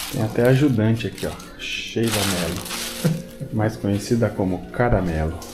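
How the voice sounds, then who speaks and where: Amid audible room echo and noticeable background noise, a man talks fairly slowly at a fairly low pitch. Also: ordinary pitch variation. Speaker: motorcycle travel vlogger. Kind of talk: casual vlog narration. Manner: speaking quietly early morning.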